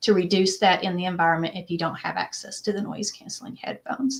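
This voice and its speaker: Her medium-pitched voice carries vocal fry as this woman speaks at a fairly quick pace. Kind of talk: interview. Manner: fast.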